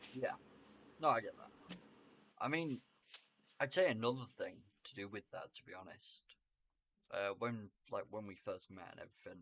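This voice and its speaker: A man speaks in a British accent with long, frequent pauses. His loudness swings a lot. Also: moderate pace. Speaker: podcast co-host. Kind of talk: casual chat. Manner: normal volume, fluent here.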